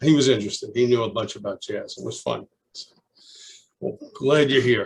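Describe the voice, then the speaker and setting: A man with a Brooklyn accent, at a moderate pace, with big swings in loudness. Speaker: retired teacher, alumnus. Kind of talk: oral history interview. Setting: video call. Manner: halting.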